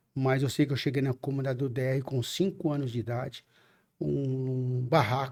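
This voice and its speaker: Here is a man with a normal speaking voice at medium pitch. He goes at a moderate pace with fairly even intonation on a very clean recording with a silent background. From São Bernardo do Campo, São Paulo, Brazil. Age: 50s. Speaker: city council candidate. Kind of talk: podcast interview.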